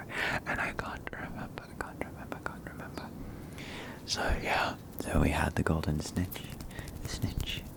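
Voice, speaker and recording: A whisper at a moderate pace with noticeable background noise. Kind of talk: ASMR soft-spoken chat with trigger words. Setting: close microphone in a home setup. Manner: soft-spoken, whispered, repeating trigger words.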